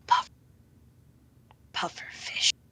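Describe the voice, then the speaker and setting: Someone whispers in a put-on character voice. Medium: actual play. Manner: terse, clipped.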